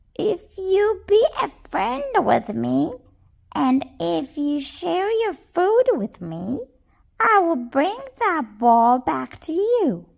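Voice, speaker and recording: In a put-on character voice, the speaker uses a high pitch and talks at a very slow pace. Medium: read story.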